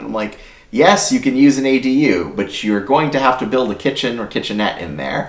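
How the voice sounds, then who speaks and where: Loud and fairly quick, a man speaks at a medium pitch with very wide pitch swings. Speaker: YouTube channel host, housing consultant. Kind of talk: explainer video. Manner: casual, conversational.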